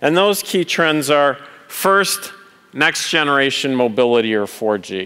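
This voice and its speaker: With a Canadian accent, a man speaks in a normal speaking voice at a fairly slow pace. His pitch is fairly high and his intonation lively. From Canada. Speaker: conference speaker, telecom executive. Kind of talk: conference keynote talk. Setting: stage with audience.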